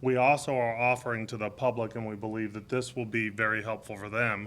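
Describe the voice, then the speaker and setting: A man speaks loudly in a medium pitch with a bright, sharp tone. His pace is moderate and his intonation monotone and flat. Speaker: deputy police chief. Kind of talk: press conference. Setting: press briefing with media.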